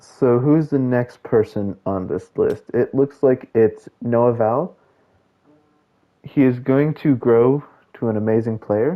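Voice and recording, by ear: A man talks at a slow pace with ordinary pitch variation. His pitch sits in the medium range.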